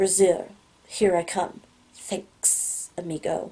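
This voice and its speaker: Hissing in a put-on character voice, a woman of medium pitch speaks at a very slow pace. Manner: casual, grateful.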